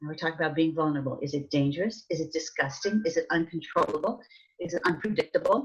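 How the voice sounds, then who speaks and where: A woman talks at a very fast pace, her voice somewhat breathy. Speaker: stress management and health education expert. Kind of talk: webinar presentation. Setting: online webinar. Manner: energetic.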